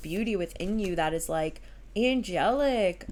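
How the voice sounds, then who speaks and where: In a normal speaking voice, a woman talks at a fairly slow pace with ordinary pitch variation. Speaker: tarot reader. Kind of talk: tarot reading monologue. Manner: casual, filler-heavy.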